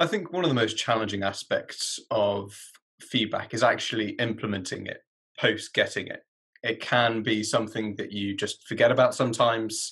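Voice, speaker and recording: With nothing but quiet in the background, a man keeps to a moderate pace. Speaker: graduate student. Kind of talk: interview. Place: home room. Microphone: webcam.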